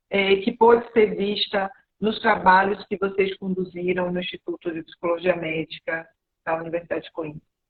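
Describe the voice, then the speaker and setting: Moderate pace with a Brazilian accent. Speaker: interviewer. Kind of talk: online interview.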